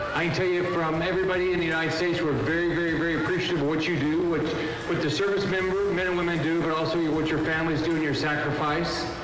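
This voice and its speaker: A man with a high voice talks very fast in a monotone, flat way, with hardly any pauses. Audible room echo and noticeable background noise fill the recording. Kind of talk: public speech. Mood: warm, grateful, light humor. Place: stage. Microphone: handheld.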